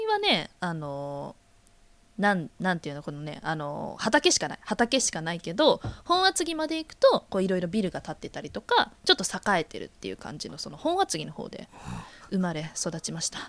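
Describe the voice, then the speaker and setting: A woman talks at a moderate pace, her loudness swinging widely. The sound is dry and close with no echo, though background noise is noticeable. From Kanagawa, Atsugi. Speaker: podcast co-host. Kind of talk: casual chat. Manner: laughs often.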